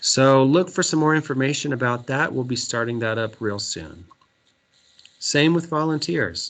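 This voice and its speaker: A man with an American accent and a plain, everyday voice, medium in pitch, with lively intonation at a moderate pace. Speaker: third grade teacher. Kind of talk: virtual back to school night presentation. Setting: video call. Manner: many filler words.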